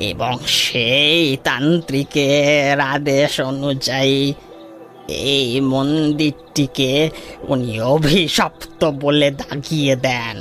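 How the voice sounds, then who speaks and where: A man does a put-on character voice at a fairly high pitch, speaking at a very slow pace with fairly even intonation. His loudness stays very even while clear music plays in the background. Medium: audio drama. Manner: respectful, storytelling.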